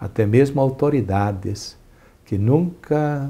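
The man's dark, mellow tone is somewhat breathy, with ordinary pitch variation. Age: 60s. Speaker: archbishop; interviewee. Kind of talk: interview; interview answer. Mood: relaxed, smiling, animated. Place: studio. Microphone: lapel.

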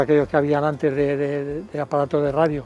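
This man talks at a fairly quick pace. The sound is dry, with no echo. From Valencia region, Spain (Chiva); Valencia, Spain. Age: 80s+. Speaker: football fan. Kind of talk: interview reminiscence; interview answer. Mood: warm, nostalgic. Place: stadium. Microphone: lapel.

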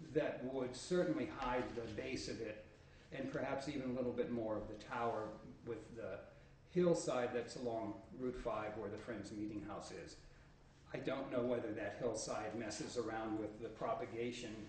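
There is audible room echo and light background noise. A man speaks at a moderate pace with ordinary pitch variation. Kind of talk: public meeting statement. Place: meeting room. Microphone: podium.

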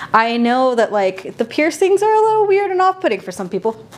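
A woman with an American accent, high-pitched and at a fairly quick pace. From San Jose, California (east side). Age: 30s. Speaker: visual artist. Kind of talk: casual interview. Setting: art studio. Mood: relaxed, candid, self-deprecating humor. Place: workshop.

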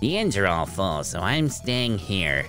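Over clear music in the background, a man uses a put-on character voice, fairly low in pitch and fairly slow in pace. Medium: actual play.

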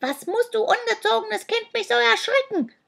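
In a put-on character voice, the speaker is loud, hissing and extremely high-pitched, moving at a moderate pace.

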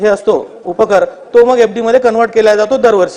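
A man's high-pitched voice with a slightly mellow tone, at a fairly quick pace. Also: ordinary pitch variation.

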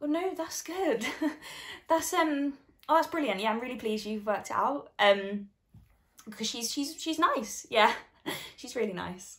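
Over a quiet background, a woman with a high voice speaks at a moderate pace, her loudness swinging widely. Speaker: actor in showreel scene. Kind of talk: scripted dramatic scene dialogue. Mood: awkward, then emotional confession. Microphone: phone near.

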